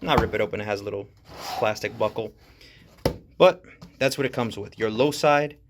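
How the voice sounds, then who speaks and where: A man speaks fairly quickly at medium pitch with lively intonation, breaking into long, frequent pauses over noticeable background noise. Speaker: tool reviewer. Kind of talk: tutorial. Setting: outdoors. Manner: soft-spoken.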